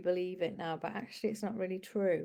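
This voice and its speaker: Very fast and fairly even in intonation, a woman's voice carries a dark, mellow tone. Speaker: spiritual guide and empowerment coach. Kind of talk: weekly spiritual forecast talk. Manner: hesitant, many fillers.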